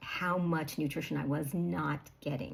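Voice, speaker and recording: With an American accent, a woman talks in a very deep, low pitch with ordinary pitch variation. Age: 60s. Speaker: health coach. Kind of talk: casual talk to camera. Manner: conversational with fillers.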